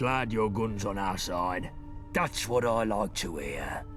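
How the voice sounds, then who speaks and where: Over clear music in the background, someone performs a put-on character voice at a moderate pace. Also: man. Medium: machinima. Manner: blunt, commanding.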